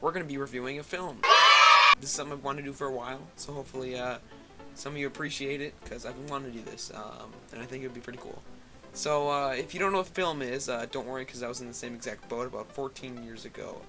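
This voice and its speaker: Music plays behind a man talking at a very fast pace. His pitch is medium, with ordinary variation. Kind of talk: casual movie review voice-over. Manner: hesitant, many filler words.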